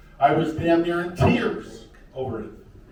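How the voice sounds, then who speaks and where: There is noticeable background noise and audible room echo as a man speaks with an American accent. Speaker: county commissioner candidate. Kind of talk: candidate debate.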